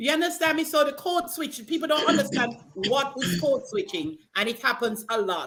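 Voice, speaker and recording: A woman speaks at a moderate pace with a high voice and hardly any pauses. Her pitch swings very widely. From Jamaica. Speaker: panel guest. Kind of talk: casual chat.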